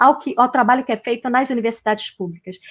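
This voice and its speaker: Against a quiet background, a woman speaks in a normal speaking voice at a fairly high pitch and a fairly quick pace, with ordinary pitch variation. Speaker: university professor, lecturer. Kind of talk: online lecture. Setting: video call, virtual talk.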